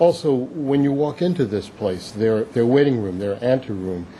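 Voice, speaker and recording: Over noticeable background noise, a man with a medium pitch speaks at a moderate pace. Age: 70s. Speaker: public commenter at city hearing. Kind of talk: public testimony. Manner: halting.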